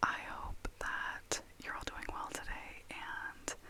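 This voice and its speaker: A woman whispers at a very slow pace. There is noticeable background noise. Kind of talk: ASMR close-whisper talk to camera. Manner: whispered, soft-spoken.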